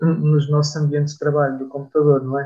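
A somewhat breathy man's voice, fairly high in pitch, with monotone, flat intonation. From Portugal, Aveiro. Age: 20s. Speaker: musician in a band. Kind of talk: radio interview. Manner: halting, frequent repetitions.

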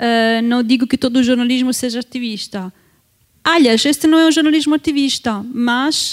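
Moderate pace in an Italian accent, with ordinary pitch variation. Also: woman, high pitch for a woman. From Italy. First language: Italian (speaking Portuguese). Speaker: social movements researcher. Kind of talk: academic presentation. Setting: university auditorium panel.

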